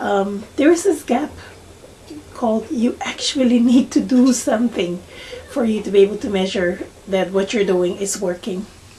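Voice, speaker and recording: A woman speaks at a moderate pace with a non-native accent and a fairly high pitch. Her intonation is lively, and there is noticeable background noise. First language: not English. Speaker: beauty vlogger. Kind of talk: tutorial. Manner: halting, many fillers.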